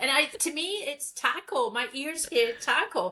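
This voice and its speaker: Very slowly, a woman speaks in a raised, projected voice that swings very widely in pitch. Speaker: podcast co-host. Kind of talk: casual chat.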